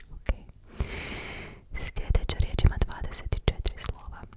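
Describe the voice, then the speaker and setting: Noticeable background noise surrounds a woman's whispering. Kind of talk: ASMR personal attention. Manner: whispered.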